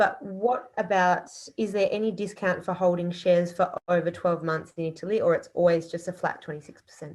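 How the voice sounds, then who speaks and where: A woman speaks with an Australian accent at medium pitch and fairly even intonation. Her pace is fairly quick, with hardly any pauses. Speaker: audience member. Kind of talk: Q&A question. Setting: video call from bedroom.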